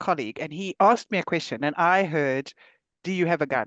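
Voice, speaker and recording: A woman with a South African accent talks at a fairly quick pace, her pitch fairly low with ordinary variation. The sound is dry and close, with no echo. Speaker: podcast host. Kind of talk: podcast interview.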